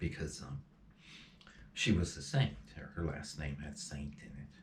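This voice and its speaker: With vocal fry in a very deep, low voice, a man talks at a moderate pace. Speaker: spiritual channeler. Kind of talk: emotional personal monologue. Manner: halting.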